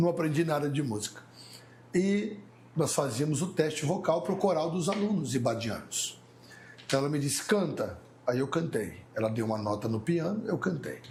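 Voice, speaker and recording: This man's fairly high voice carries lively intonation at a moderate pace, and the room echo is audible. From Mauá, São Paulo, Brazil. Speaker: pastor. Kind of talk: casual chat.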